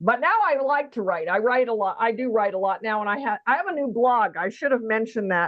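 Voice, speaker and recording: A woman's fairly high, an unremarkable speaking voice, with an American accent, lively intonation and a fairly quick pace with hardly any pauses. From California. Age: 60s. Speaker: author. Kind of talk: interview. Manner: conversational with fillers.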